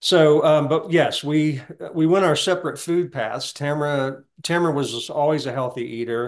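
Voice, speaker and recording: A Southern US accent colors this voice. The speaker is a man. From US South. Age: 60s. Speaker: heart attack survivor. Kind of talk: testimony.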